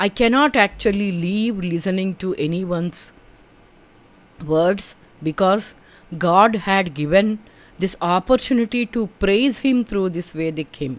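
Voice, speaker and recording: A woman speaks at a fairly slow pace. She has an Indian accent. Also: medium pitch for a woman, ordinary pitch variation. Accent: Indian English (Telugu). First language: Telugu. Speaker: spiritual teacher, podcaster. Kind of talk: personal testimony.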